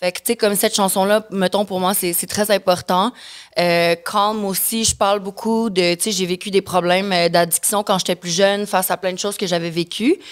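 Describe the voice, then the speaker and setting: Speaking at a moderate pace, a woman of medium pitch keeps a monotone, flat intonation in a dry, close sound with no echo. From Mexico and the Caribbean, of Quebec descent. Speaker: singer, former reality TV contestant. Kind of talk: podcast interview. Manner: hesitant, many fillers.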